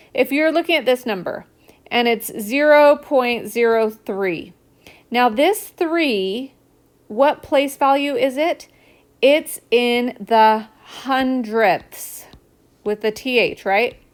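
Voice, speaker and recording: A woman's high voice moves at a very slow pace with lively intonation. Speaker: math tutor. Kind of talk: recorded math lesson for a child. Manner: animated, enthusiastic; casual, encouraging.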